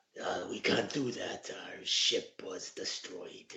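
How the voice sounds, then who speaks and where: Putting on a raspy character voice, a man speaks fairly slowly at an extremely high pitch. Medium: actual play. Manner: measured, low.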